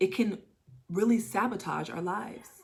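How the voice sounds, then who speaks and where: A woman's somewhat breathy, animated voice with ordinary pitch variation. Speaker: tarot reader. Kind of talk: channeled tarot reading. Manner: fast.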